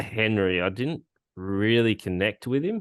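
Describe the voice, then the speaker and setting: A man speaks in a fairly low pitch. The background is quiet. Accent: strong Australian. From Australia. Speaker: podcast host. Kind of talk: casual chat.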